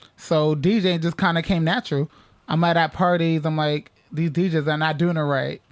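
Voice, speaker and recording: A man talks in a plain, everyday voice at a fairly high pitch. His pace is moderate, with very even loudness and fairly even intonation. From New York, the Bronx. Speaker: DJ. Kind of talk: radio interview. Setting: radio studio. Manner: casual.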